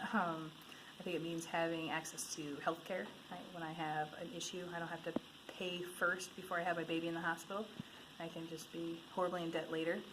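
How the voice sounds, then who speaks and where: A woman with an Upper Midwest accent, fairly low in pitch, in a flat monotone at a moderate pace, with audible room echo. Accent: Upper Midwest American. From Michigan. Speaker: interviewee. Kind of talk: street interview. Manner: halting with many fillers.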